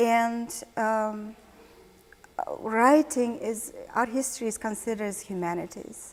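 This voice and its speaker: Her voice fairly high in pitch, a woman speaks with a Mongolian accent. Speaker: art historian and curator. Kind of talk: interview.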